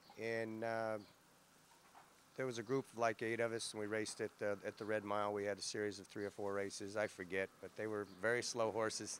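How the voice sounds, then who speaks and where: In an American accent, a man talks at a fairly quick pace. His fairly low voice has a monotone, flat intonation. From Kentucky, US South. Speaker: harness racing driver. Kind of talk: interview. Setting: barn area. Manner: halting, many fillers.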